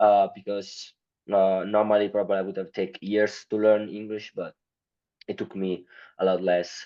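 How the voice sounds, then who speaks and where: A man speaks with an Italian accent. His pitch is fairly low. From Italy. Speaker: marketing company founder. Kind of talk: podcast interview. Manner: halting, many fillers.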